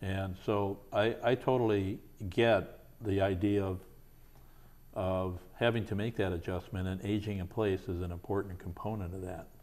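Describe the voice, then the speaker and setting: Fairly low in pitch, a man speaks with fairly even intonation. He has a plain, everyday voice. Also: moderate pace. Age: 60s. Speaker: talk show host. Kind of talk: interview.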